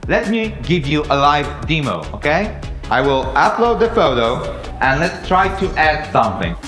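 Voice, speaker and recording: At a moderate pace, a man talks with audible room echo and clear music in the background. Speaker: presenter. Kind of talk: product presentation. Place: stage. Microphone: headset.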